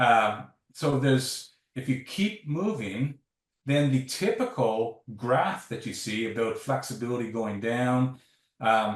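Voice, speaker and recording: Somewhat breathy, a man speaks at a fairly slow pace. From Canada. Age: 60s. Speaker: sports science professor. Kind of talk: interview.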